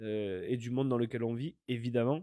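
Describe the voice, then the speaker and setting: A man's voice, dry and close with no echo, keeps a fairly even intonation. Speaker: podcast host. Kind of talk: solo monologue podcast. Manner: fast; hesitant, many fillers.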